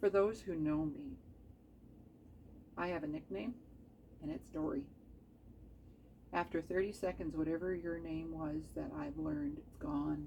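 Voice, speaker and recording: A woman with a slight Canadian accent, speaking at a fairly slow pace with long, frequent pauses. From Canada. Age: 50s. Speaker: craft video maker. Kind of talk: casual tutorial chat. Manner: chatty, rambling asides.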